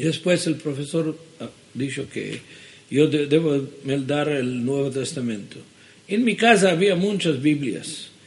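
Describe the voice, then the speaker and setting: A man with an Israeli accent talks at a very slow pace, his voice somewhat breathy. His pitch is fairly high, with ordinary pitch variation. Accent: Israeli-accented Judeo-Spanish. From Israel, Jerusalem. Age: 70s. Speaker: ministry director. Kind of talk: interview. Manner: halting.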